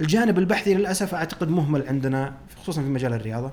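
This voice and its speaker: A man with an unremarkable speaking voice. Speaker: podcast host, financial analyst. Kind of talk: solo podcast commentary.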